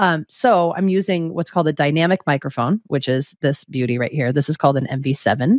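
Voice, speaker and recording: On a very clean recording with a silent background, a woman with a very deep, low pitch talks fairly quickly with lively intonation and hardly any pauses, the sound dry and close with no echo. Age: 40s. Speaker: singer-songwriter and audio gear specialist. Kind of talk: casual interview.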